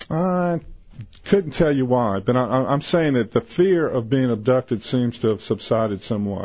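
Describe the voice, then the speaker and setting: This is a man with an American accent and a plain, everyday voice. His medium pitch carries lively intonation at a moderate pace. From US South. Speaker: insurance seller. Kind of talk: radio interview.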